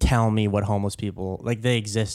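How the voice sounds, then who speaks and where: This man speaks at a fairly quick pace. His pitch sits in the medium range. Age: 20s. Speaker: comedian. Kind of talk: casual chat. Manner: halting.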